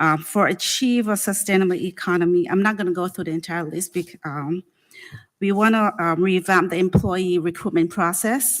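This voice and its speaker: In an ordinary speaking voice, a woman talks at a moderate pace and medium pitch with ordinary pitch variation, captured on a very clean recording against a silent background. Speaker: city HR director. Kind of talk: budget presentation to city council.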